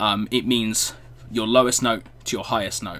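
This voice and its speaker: In a British accent, a man speaks with a fairly low pitch and a bright, sharp tone. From Britain. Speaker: music reaction youtuber. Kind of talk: video reaction commentary. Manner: hesitant, many fillers.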